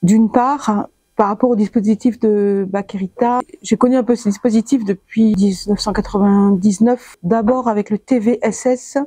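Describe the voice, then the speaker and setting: Fairly high-pitched, somewhat breathy female voice with a dark, mellow tone, fairly slow pace, fairly even intonation, very even loudness and a dry, close sound with no echo. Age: 60s. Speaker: blind physiotherapist testing a device. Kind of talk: interview.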